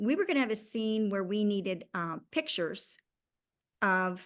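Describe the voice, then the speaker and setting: Against a quiet background, a woman speaks at medium pitch with lively intonation. She keeps a fairly slow pace. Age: 60s. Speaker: independent filmmaker. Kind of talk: casual interview chat. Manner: halting, with many fillers.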